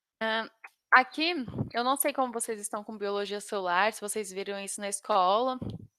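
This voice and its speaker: Delivered at a moderate pace with ordinary pitch variation, the voice has a bright, sharp tone. The sound is dry and close, with no echo. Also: woman. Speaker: biology teacher. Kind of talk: online lecture. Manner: halting.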